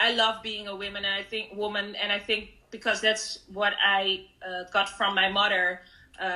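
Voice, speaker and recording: Speaking at a moderate pace, a woman with a Dutch accent has a medium pitch. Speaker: artist. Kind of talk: panel interview. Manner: halting.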